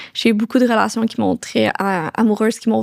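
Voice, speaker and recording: A woman's fairly high voice, dry and close with no echo. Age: 20s. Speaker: young entrepreneur. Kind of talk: casual interview chat. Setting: podcast recording. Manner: fast.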